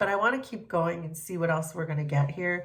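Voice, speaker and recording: With a normal amount of pitch movement, a woman speaks in a room with some echo. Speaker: tarot reader and reiki healer. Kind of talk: collective tarot reading. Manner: casual, hesitant with fillers.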